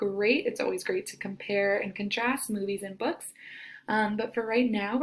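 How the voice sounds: With fairly even intonation, the voice reads in a natural way.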